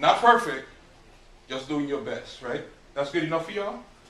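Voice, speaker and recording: A man's fairly high voice, with audible room echo and noticeable background noise. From US Virgin Islands (St. Croix), born in Brooklyn, New York. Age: 50s. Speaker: mentor and realtor speaking to students. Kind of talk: motivational talk to high school class. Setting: classroom with students. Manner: casual, conversational.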